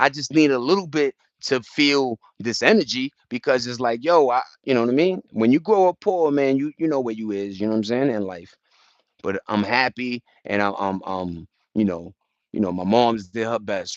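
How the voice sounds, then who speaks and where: A man at medium pitch and moderate pace, with a dry, close sound and no echo. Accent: New York. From New York. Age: 40s. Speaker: live streamer. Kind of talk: casual livestream chat. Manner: animated.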